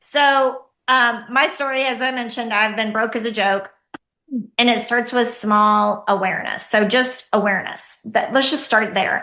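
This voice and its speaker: Using a Southern US accent, a woman speaks in a high voice at a moderate pace with fairly even intonation. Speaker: empowerment coach. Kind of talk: podcast interview answer.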